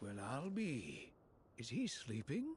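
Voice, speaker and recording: Over clear background noise, a man does a put-on character voice at a medium pitch. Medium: video game.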